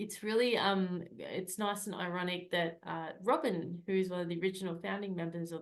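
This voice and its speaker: A woman speaks with an Australian accent at a fairly low pitch. Her pace is fairly quick and her intonation fairly even. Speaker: Toastmasters club member acting as meeting leader. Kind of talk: meeting facilitation and closing remarks. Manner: fast.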